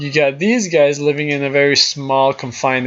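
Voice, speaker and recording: Fairly high male voice with a non-native accent, moderate pace and ordinary pitch variation, plus noticeable background noise. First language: not English. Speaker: gaming YouTuber. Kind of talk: gameplay commentary. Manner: casual, thinking aloud.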